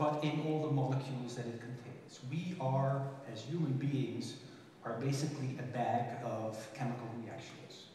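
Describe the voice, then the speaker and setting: With strong room echo and light background noise, a man talks at a moderate pace in fairly even intonation. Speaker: conference speaker. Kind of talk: lecture. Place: stage.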